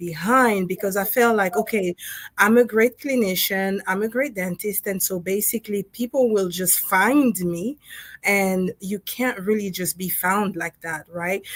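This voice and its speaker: A woman with a Congolese accent speaks at a fairly slow pace. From Democratic Republic of Congo. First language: French. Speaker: dentist and co-author. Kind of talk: interview on a livestream panel.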